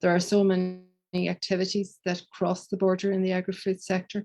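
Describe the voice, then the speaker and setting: A woman's medium-pitched voice is heard against a quiet background. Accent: Donegal. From Ireland, County Donegal. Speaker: professor. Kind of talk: conference presentation.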